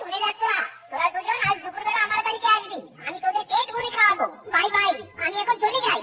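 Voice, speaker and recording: A cartoonish character voice with an extremely high pitch. It moves at a fairly quick pace over light background noise. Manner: indignant, dramatic.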